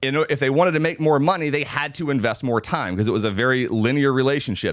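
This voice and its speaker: Here is a man with an ordinary speaking voice at a medium pitch. He talks at a fairly quick pace with ordinary pitch variation. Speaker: real estate agent and video trainer. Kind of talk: live training talk. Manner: conversational, some filler words.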